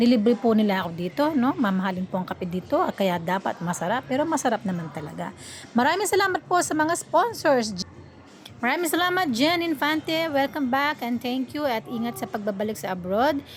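A woman's high-pitched voice with very wide pitch swings at a fairly quick pace, over noticeable background noise. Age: 60s. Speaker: vlogger. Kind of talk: casual vlog narration. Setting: outdoors at a café. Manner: polite, uses 'po' often.

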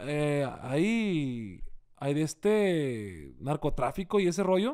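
Lively intonation from a man. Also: quiet background. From Sinaloa, Mexico. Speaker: singer and accordionist; interviewee. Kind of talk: casual interview. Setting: hotel room. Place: home room. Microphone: studio mic.

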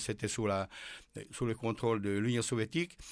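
This is a very clean recording with a silent background. A man with a medium-pitched voice speaks in a Hungarian accent. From Hungary. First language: Hungarian (speaking French). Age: 80s+. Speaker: author and former military officer. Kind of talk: interview. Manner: halting.

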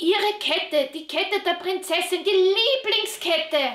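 A cartoonish character voice sits at an extremely high pitch. It moves at a moderate pace. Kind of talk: children's puppet show. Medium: puppet.

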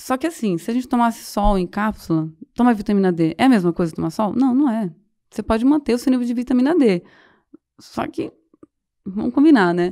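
Against a quiet background, a woman with a fairly high pitch and a dark, mellow tone speaks at a fairly quick pace, her pitch swinging very widely and her speech broken by long, frequent pauses. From rural Goiás, Brazil. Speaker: somatic therapist; podcast guest. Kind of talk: interview. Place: studio. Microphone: studio mic.

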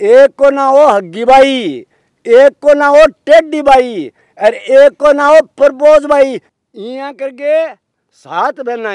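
A man speaks very slowly in an extremely high pitch, the sound dry with no echo against a quiet background. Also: ordinary pitch variation. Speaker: interviewee. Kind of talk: interview answer. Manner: elderly man's aged, storytelling voice. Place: open country.

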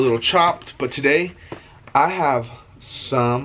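A man at a fairly slow pace, with ordinary pitch variation and light background noise. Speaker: food vlogger. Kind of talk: casual vlog chat. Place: home room. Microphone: phone near.

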